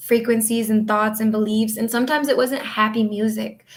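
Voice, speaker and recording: The voice comes across somewhat breathy. It is in an Upper Midwest accent. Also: woman. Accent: Upper Midwest American. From northern Michigan. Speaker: astrologer and reiki healer. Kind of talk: casual livestream chat. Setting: home office livestream.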